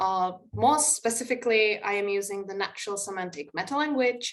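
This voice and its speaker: A woman speaks with a Czech accent at a moderate pace. Her pitch varies in an ordinary way. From Czech Republic. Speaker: linguistics researcher. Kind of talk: conference presentation. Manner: halting, frequent filler 'uh'.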